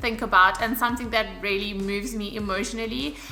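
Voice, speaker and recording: Over music in the background, a woman talks in an animated tone with audible room echo. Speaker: fitness and lifestyle YouTuber. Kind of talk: casual vlog talk to camera. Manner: chatty, animated.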